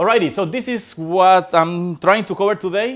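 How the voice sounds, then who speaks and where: A man with a Spanish accent and high pitch at a moderate pace in a very clean recording with a silent background. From Colombia. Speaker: software developer. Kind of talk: tech talk. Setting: stage with audience. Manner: hesitant, many fillers.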